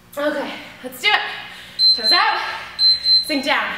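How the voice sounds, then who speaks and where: Over loud background noise and audible room echo, a woman talks at a very slow pace. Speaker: fitness instructor. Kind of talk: workout instruction. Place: gym.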